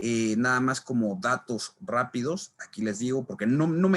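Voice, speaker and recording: In an unremarkable speaking voice, a man holds a medium pitch that shifts with ordinary variation. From Mexico City. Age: 20s. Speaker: labor lawyer and law lecturer. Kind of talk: online lecture. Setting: live online class with chat. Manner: casual with frequent fillers.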